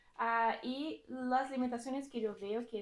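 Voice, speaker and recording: A woman with a Brazilian accent speaks with ordinary pitch variation. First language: Portuguese (speaking Spanish). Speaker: data engineering team lead, conference speaker. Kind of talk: technical talk at meetup. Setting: lecture room with audience. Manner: halting, many fillers and restarts.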